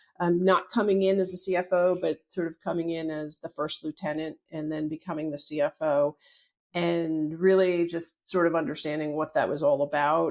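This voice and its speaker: With an unremarkable speaking voice, a woman speaks at a fairly low pitch and a moderate pace, her intonation fairly even over a quiet background. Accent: American. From northern New Jersey, US. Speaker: company CFO, accountant. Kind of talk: interview.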